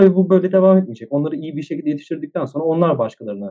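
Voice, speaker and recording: This man talks at a very fast pace. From Istanbul, Turkey. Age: 20s. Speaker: psychology student and social entrepreneur. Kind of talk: casual interview.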